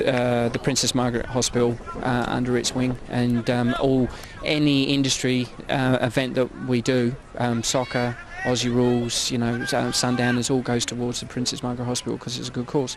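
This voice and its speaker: A man speaks at a medium pitch in a monotone, flat way, with noticeable background noise behind him. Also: moderate pace. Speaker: insurance underwriter, event organiser. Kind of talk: on-location interview. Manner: halting, many repetitions and fillers.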